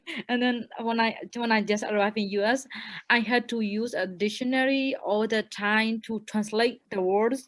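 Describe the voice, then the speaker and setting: This woman's voice is fairly high in pitch and monotone, with flat intonation. She talks at a moderate pace. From Thailand. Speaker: college student. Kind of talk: panel discussion testimony. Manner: halting.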